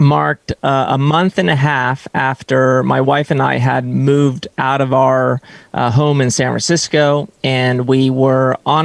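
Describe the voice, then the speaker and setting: In an ordinary speaking voice, a man at medium pitch talks at a fairly slow pace with fairly even intonation and very even loudness, the sound dry and close with no echo. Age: 30s. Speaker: fitness coach. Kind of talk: interview podcast. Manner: many fillers and false starts.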